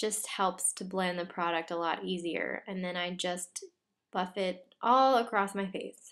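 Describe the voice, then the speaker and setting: Soft-spoken and at a medium pitch, a woman talks at a fairly slow pace with fairly even intonation. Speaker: beauty vlogger. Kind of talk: tutorial. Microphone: quiet audio.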